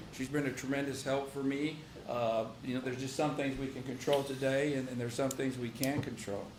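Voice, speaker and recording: Flat and monotone, a man speaks quickly in an American accent, with audible room echo and noticeable background noise. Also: medium pitch for a man. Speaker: county sheriff. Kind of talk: public meeting report. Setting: county commissioners' court session. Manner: fast.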